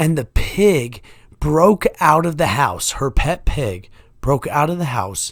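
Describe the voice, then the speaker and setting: A man talks at a very slow pace with vocal fry. His pitch swings very widely. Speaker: podcast host. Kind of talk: casual monologue. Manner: slightly slurred, stumbling over words.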